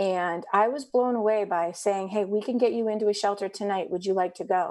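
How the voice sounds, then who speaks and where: A woman talks at a moderate pace in an ordinary speaking voice, pitched medium. Her pitch variation is ordinary, and the background is quiet. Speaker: family support worker, co-host. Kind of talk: casual chat.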